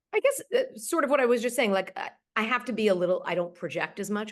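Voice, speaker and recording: Words tumble out of a woman at a very fast pace. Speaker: actress and voice actor. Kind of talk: interview. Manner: articulate, theatrical.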